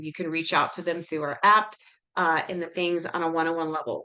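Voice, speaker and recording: Pitched fairly low, a woman talks at a fairly quick pace. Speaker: weight loss coach. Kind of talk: live webinar sales pitch. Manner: fast.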